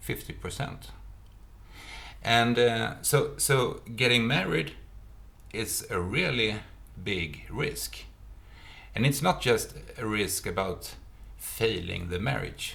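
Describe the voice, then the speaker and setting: There is audible room echo as a man with a Swedish accent talks at a very slow pace, with long, frequent pauses. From Sweden. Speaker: retired private investor. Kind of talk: monologue vlog. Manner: halting, many fillers.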